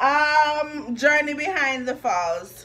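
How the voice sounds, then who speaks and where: In a strong Jamaican accent, a woman projects a high, raised voice with lively intonation at a very slow pace while faint music plays in the background. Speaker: vlogger. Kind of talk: casual vlog talk to camera. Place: home room. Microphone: phone near.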